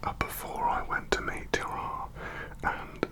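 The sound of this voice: A man speaks in a whisper.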